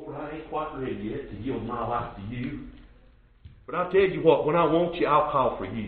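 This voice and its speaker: In a rural Southern US accent, a man with a fairly high pitch speaks at a moderate pace, his intonation lively and his loudness swinging widely. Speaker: preacher. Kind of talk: sermon. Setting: church. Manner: repetitive, stammering, halting cadence with stuttered word repeats; earnest, exhorting, rhetorical questions to the congregation.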